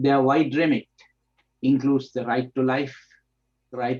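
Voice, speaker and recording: A man speaks at a fairly slow pace with a medium pitch. The sound is dry and close, with no echo. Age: 70s. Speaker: doctor and human rights activist. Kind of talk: prepared presentation. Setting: video call. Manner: formal.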